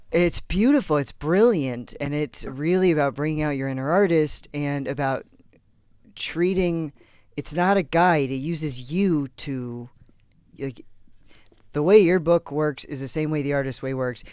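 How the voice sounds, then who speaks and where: With an American accent and a normal speaking voice, a man talks at a fairly slow pace. His pitch is fairly high, with ordinary variation. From Texas. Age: 30s. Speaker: comedian. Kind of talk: casual chat.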